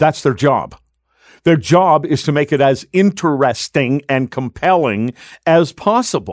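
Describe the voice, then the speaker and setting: A man speaks in a normal speaking voice, fairly high-pitched, with lively intonation and very even loudness at a fairly slow pace. The sound is dry and close with no echo, on a very clean recording with a silent background. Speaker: radio host. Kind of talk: live radio talk show. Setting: studio.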